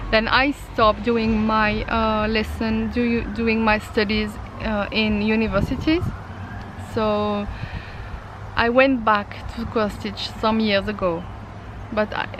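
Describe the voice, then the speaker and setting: A woman with a French accent speaks at a very slow pace with long, frequent pauses, amid noticeable background noise and audible room echo. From France. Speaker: craft vlogger, mixed media artist. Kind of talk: casual vlog. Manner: halting, many fillers.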